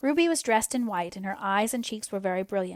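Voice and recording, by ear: The speaker is reading aloud in a natural voice. Nothing else about the delivery changes.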